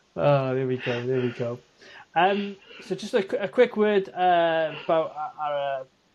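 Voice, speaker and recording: The speaker talks at a moderate pace with a slight Welsh accent. Pitch varies in an ordinary way. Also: man. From Wales. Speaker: podcast co-host. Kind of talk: casual chat.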